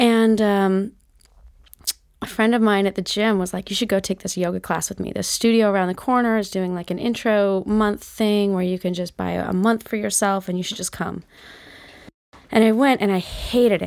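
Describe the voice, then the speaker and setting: A woman with a plain, everyday voice speaks at a moderate pace and medium pitch, her intonation fairly even, on a very clean recording with a silent background. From Utah. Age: 40s. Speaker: yoga teacher. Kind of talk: casual chat.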